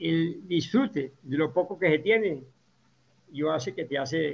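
The man speaks at a fairly slow pace. Vocal fry runs through his voice. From Colombia. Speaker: agronomist and organic farming educator. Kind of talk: interview.

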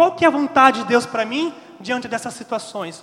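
A man uses a raised, projected voice. It sits at an extremely high pitch. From interior Brazil. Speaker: preacher. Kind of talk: sermon to a young audience at a retreat, teaching on scripture with rhetorical questions. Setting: retreat with live audience. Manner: earnest and animated, exhorting the audience directly; repeats key verses for emphasis, pausing for audience.

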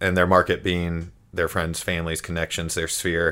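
A man with a bright, sharp tone is heard in a very clean recording against a silent background. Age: 30s. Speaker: real estate agent. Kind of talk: casual chat. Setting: in host's basement.

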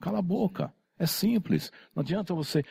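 A man speaks fairly slowly in a dark, mellow tone with vocal fry. The sound is dry and close, with no echo. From São Paulo, Brazil. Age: 50s. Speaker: tattoo convention organizer. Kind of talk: casual chat.

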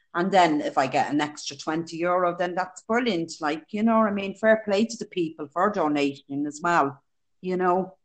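Speaking in a Dublin accent, a woman keeps a moderate pace. Her fairly low voice shows ordinary pitch variation. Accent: Dublin Irish. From Dublin, Ireland. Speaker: childminder and charity runner. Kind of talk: casual interview.

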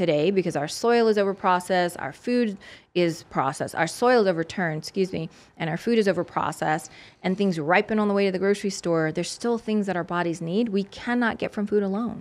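A woman speaks in a plain, everyday voice at a medium pitch. She goes at a fairly quick pace with ordinary pitch variation over a quiet background. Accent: American. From US South, South Louisiana. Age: 40s. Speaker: holistic nutritionist and former fitness competitor. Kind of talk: interview conversation. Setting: studio.

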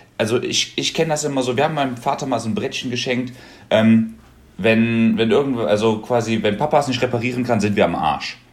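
A man at medium pitch and a fairly quick pace, with ordinary pitch variation, over noticeable background noise. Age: 20s. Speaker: podcast guest, student. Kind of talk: casual chat.

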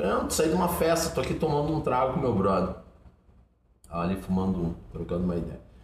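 An animated man talks at a fairly quick pace. Audible room echo surrounds his voice. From southern Brazil, born in Curitiba. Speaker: social activist, founder of a charity kitchen. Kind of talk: casual interview chat. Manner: animated, slangy street talk.

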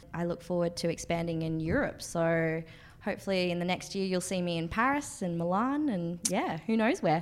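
A woman with an Australian accent, fairly low in pitch, at a moderate pace and with ordinary pitch variation. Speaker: co-host, marketing manager. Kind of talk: casual interview. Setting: in an office in London.

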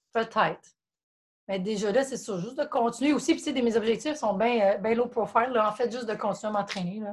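A woman with a Quebec accent talks at a fairly quick pace and a fairly high pitch. Her voice is somewhat breathy, with ordinary pitch variation. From Quebec, Montreal area. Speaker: CrossFit gym member. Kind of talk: casual chat.

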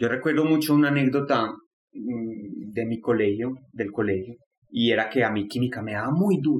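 A man's normal speaking voice, medium in pitch and moderate in pace. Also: ordinary pitch variation. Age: 20s. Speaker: student sharing depression story. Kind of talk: personal testimony.

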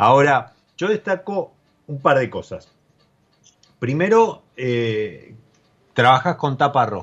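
A man with a fairly high pitch talks at a very slow pace, leaving long, frequent pauses. His pitch swings very widely. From Argentina, Mendoza. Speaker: podcast host. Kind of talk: casual interview about wine. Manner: halting, many repeated words.

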